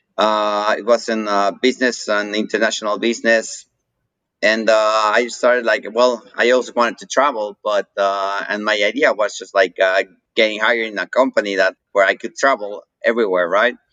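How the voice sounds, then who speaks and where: In a dry, close sound with no echo, a man with a Mexican accent speaks at a moderate pace in a bright, sharp tone with monotone, flat intonation. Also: fairly low pitch for a man. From Mexico. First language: Spanish. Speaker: coffee roaster and business owner. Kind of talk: interview. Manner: hesitant, many fillers.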